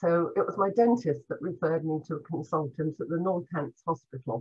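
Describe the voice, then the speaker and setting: Her voice somewhat breathy, a woman talks at a fairly quick pace with ordinary pitch variation. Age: 70s. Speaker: former cancer patient. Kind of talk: personal testimony.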